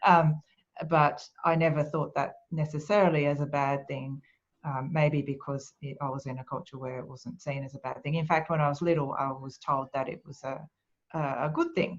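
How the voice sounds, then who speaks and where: A woman's very deep, low voice with a Japanese accent, monotone and flat in intonation, at a moderate pace with big swings in loudness. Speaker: speaker and author on quiet leadership. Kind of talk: webinar Q&A. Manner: calm, soft-spoken.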